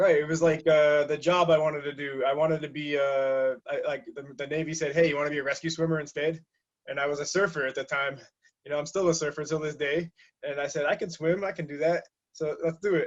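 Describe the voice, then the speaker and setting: Here a man speaks at a very fast pace. His intonation is flat and monotone. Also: fairly high pitch for a man. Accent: slight Massachusetts. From southeastern Massachusetts (Taunton). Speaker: navy sailor. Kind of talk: interview. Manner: halting, many fillers.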